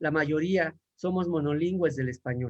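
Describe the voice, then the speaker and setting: Here a man talks at a moderate pace. His pitch is fairly high, with ordinary pitch variation. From Mexico. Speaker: language teacher. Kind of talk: panel talk. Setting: online livestream. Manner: halting.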